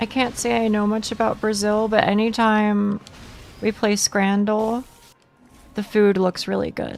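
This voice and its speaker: A woman with an American accent speaks at a fairly slow pace, her fairly high voice held in a flat monotone. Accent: southern US accent, showing more lately. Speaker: video game streamer. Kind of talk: casual live-stream chat with viewers. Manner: repeats words often.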